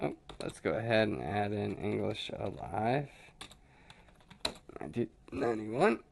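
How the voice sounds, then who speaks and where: A man speaks at a moderate pace with long, frequent pauses. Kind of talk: casual talk to camera, screen walkthrough. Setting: home recording, low sound quality.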